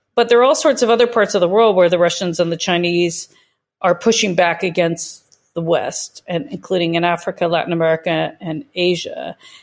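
Fairly quick speech from a woman with fairly low pitch and ordinary pitch variation, in an unremarkable speaking voice. The recording is very clean, with a silent background. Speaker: think tank director. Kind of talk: interview.

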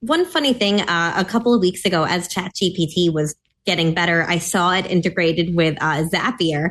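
A woman's fairly low voice at a moderate pace, with a slight Mid-Atlantic accent, ordinary pitch variation, very even loudness and a quiet background. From US Mid-Atlantic. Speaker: policy analyst. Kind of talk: casual chat.

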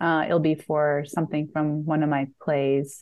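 A woman talks in an unremarkable speaking voice at a fairly slow pace. Her pitch sits fairly low. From United States. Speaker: screenwriter and playwright. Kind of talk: casual interview.

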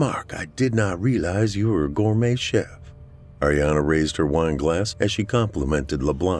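Over music in the background, a man with an American accent and a very deep, low pitch speaks at a moderate pace with lively intonation. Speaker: horror fiction narrator. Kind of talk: scripted horror fiction narration, read aloud. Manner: measured, suspenseful, dramatic storytelling pace; theatrical, relishing words like 'titillate'.

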